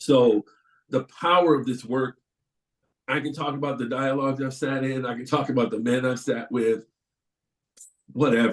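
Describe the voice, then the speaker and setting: A man speaks at a moderate pace in a medium pitch, his intonation fairly even and broken up by long, frequent pauses. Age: 60s. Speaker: panelist, community volunteer in prison dialogues. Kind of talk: webinar panel testimony. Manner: conversational, with some repeated words.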